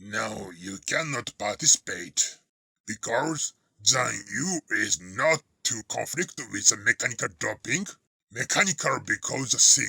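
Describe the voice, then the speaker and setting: A man puts on a cartoonish character voice at medium pitch, speaking at a fairly slow pace with very wide pitch swings. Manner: blunt, teasing.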